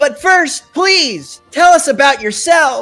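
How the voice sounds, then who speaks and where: A high-pitched, put-on character voice at a fairly slow pace, with faint music in the background. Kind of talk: formal, polite. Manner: anime dub delivery.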